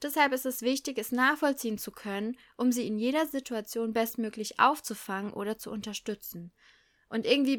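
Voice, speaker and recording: A woman with a high pitch and a bright, sharp, animated tone speaks at a moderate pace. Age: 20s. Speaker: primary school teacher, podcast host. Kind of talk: solo podcast monologue. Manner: animated, laughing often.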